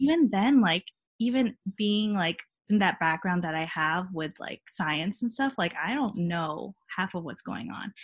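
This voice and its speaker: A woman speaks at a fairly slow pace in a somewhat breathy voice. The sound is dry and close with no echo, over a quiet background. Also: medium pitch for a woman. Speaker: medical student. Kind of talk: casual interview.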